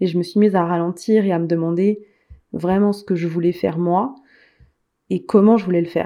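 A woman with a fairly low pitch and a dark, mellow tone speaks at a fairly quick pace with fairly even intonation. Long, frequent pauses break up her speech. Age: 30s. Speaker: life coach and author. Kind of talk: interview.

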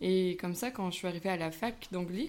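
A woman's medium-pitched speech moves at a moderate pace, her intonation fairly even. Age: 20s. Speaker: university student. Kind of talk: interview. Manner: hesitant, many fillers.

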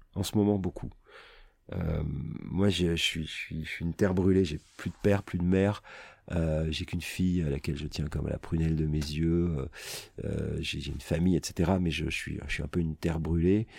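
A man speaks at a moderate pace in a very deep, low pitch with fairly even intonation. The recording is very clean with a silent background. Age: 50s. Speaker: radio host. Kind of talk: casual chat. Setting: studio.

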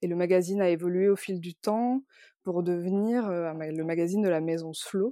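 In a very clean recording with a silent background and a dry, close sound with no echo, a woman speaks at a fairly slow pace, her fairly low voice dark and mellow with fairly even intonation. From rural France. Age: 30s. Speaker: magazine editor. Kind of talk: interview. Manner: halting, many fillers and repetitions.

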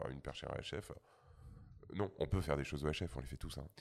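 At a very fast pace, a man talks with a very deep, low pitch, vocal fry, and ordinary pitch variation. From rural France. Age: 40s. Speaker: sound engineer. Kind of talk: casual chat.

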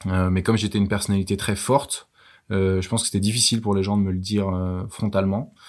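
A man's fairly low, monotone voice at a very fast pace, very even in loudness, on a very clean recording with a silent background. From France, Versailles. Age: 30s. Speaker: travel entrepreneur. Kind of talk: interview. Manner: halting, many fillers.

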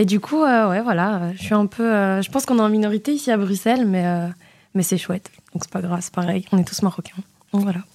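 A woman's fairly quick speech at a medium pitch, with ordinary pitch variation and an ordinary speaking voice. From Moroccan diaspora in Belgium, family from Oujda. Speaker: financial auditor. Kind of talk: radio interview. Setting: studio.

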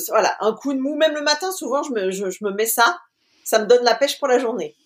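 With her voice pitched high, a woman talks using lively intonation. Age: 40s. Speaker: community manager, cancer survivor. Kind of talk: interview.

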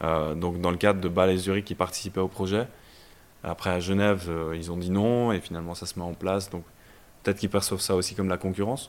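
A man talks with a very deep, low pitch. His delivery is monotone and flat at a fairly quick pace. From Belgium, Brussels. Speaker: startup founder. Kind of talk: interview. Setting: incubator office.

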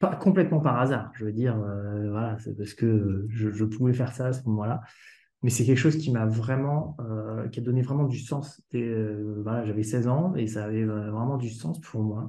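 This man's voice is somewhat breathy, with a dark, mellow tone and medium pitch. He talks at a fairly slow pace. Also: ordinary pitch variation. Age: 30s. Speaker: home care service director. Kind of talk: casual interview. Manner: halting, repeats words.

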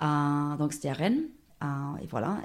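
With ordinary pitch variation, the voice moves along at a fairly slow pace. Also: woman. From Australia (Dubbo, rural New South Wales). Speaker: guest. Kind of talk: casual interview. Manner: hesitant, halting with fillers.

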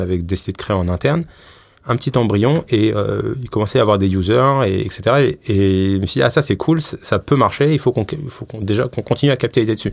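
A man with a fairly low pitch and ordinary pitch variation delivers his words fairly quickly. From Paris, France. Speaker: head of data and AI at a bank. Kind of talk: interview. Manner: hesitant, many fillers.

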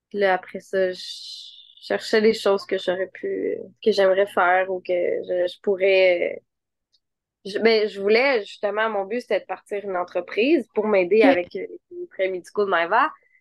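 In a Quebec accent, a woman speaks at a fairly slow pace with fairly even intonation and long, frequent pauses. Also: medium pitch for a woman. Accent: Québécois French. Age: 20s. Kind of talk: casual interview.

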